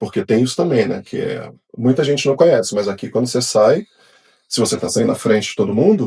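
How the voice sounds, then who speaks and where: A man at medium pitch with very wide pitch swings, a dark, mellow, somewhat breathy tone, and a fairly quick pace. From Brazil, Rio de Janeiro. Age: 40s. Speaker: engineer. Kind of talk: podcast interview. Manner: casual, conversational.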